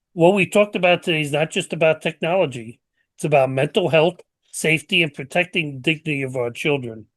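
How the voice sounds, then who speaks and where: Talking at a very fast pace, a man with a New York accent has a fairly high pitch and ordinary pitch variation. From New York City. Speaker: podcast host. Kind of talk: closing remarks to audience; casual chat. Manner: hesitant, repeats words.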